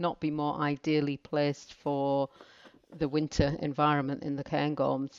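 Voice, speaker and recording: With a northern English accent, a woman speaks at a moderate pace in a very deep, low pitch, the sound dry and close with no echo over a quiet background. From northern England. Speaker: mountain instructor. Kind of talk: casual interview chat.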